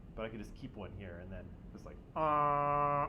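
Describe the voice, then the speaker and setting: The voice belongs to a man. The room adds an audible echo to it. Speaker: high school teacher. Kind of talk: classroom discussion. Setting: classroom.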